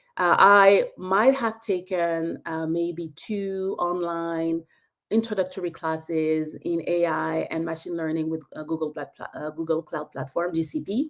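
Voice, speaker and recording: A woman with a French accent speaks at a fairly low pitch. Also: ordinary pitch variation, fairly slow pace. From France. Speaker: tech industry expert. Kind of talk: webinar presentation. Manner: halting.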